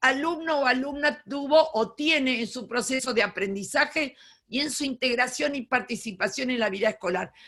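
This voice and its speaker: A woman's high, raised and projected voice with a bright, sharp tone, lively intonation and a fairly slow pace. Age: 70s. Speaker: education lecturer, retired teacher. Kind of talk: lecture.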